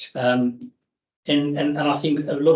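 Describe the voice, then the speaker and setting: Here a man talks in a South African accent with a fairly high pitch. His intonation stays fairly even. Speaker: grease industry engineer. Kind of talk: technical presentation. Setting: meeting hall, hybrid. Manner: fast; hesitant with fillers.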